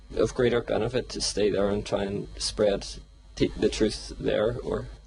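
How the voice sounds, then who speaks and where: At a moderate pace, a man talks in a Northern Irish accent. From Northern Ireland. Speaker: disciple asking a question. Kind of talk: audience question.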